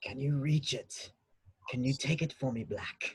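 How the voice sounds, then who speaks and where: A put-on character voice at a moderate pace. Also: man, fairly high pitch for a man. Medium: stage play. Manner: cold, menacing.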